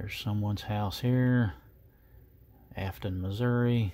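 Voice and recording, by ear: A man speaks at a fairly low pitch with a slightly mellow tone. His pitch variation is ordinary.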